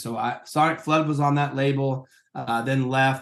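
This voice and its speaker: Monotone and flat, this man's intonation barely moves. He holds a medium pitch at a fairly slow pace. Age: 50s. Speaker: worship leader and professor. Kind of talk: interview.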